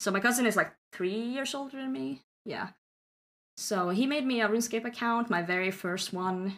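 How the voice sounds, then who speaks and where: Her intonation is lively and her pitch fairly high. The woman has an unremarkable speaking voice and keeps a moderate pace. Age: 20s. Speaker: streamer. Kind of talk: casual chat.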